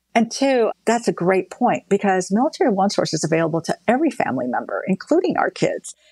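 A woman's fairly high voice at a very fast clip, with very wide pitch swings, hardly any pauses, a dry, close sound with no echo, and a very clean recording over a silent background. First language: not English. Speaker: defense department official. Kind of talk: interview.

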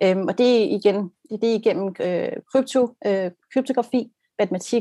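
A woman speaks with fairly even intonation in a dry, close sound with no echo. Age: 30s. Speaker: brand designer. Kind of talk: casual discussion on video call. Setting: video call. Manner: repetitive hesitations.

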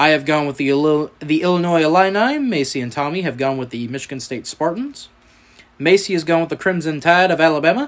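Using a Southern US accent, a man with a fairly high pitch speaks with ordinary pitch variation. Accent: Southern US drawl. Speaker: sports podcast host. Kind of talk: casual chat.

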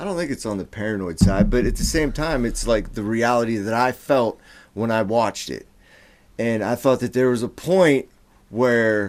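Recorded very cleanly against a silent background, a man speaks at a medium pitch and a moderate pace with ordinary pitch variation, in a plain, everyday voice. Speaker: podcast co-host. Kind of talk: casual banter, heated talk. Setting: studio. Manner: profane, emotional.

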